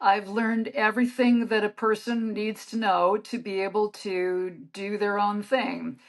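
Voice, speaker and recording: Speaking in a normal speaking voice, a woman holds a fairly high pitch with fairly even intonation. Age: 60s. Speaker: author. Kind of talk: interview.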